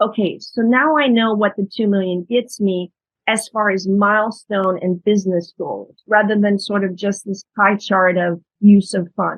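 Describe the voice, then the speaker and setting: A woman with a normal speaking voice at medium pitch talks at a fairly slow pace, with fairly even intonation and hardly any pauses. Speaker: startup investment specialist. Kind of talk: webinar presentation. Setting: video webinar.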